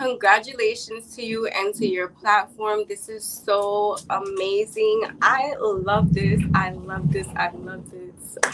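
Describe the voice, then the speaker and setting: Over noticeable background noise, a woman with a Chicago accent and a medium pitch speaks at a very slow pace with fairly even intonation and big swings in loudness. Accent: Chicago American English. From Chicago, US Midwest. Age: 20s. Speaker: entrepreneur and women's empowerment advocate. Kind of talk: interview.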